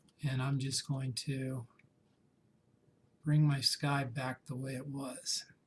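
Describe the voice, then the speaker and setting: A somewhat breathy, medium-pitched man's voice, monotone and flat, at a very slow pace with long, frequent pauses. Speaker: photography instructor. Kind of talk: tutorial. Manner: casual.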